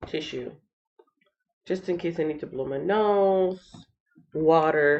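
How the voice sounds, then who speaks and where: Her pitch fairly low, a woman talks at a very slow pace with fairly even intonation and long, frequent pauses. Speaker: channel host, Bible reading livestreamer. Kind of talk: casual livestream chat. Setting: live stream.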